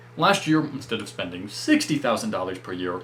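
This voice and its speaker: This voice swings very widely in pitch and comes with an American accent. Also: man. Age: 20s. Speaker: personal finance youtuber. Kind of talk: explainer video monologue.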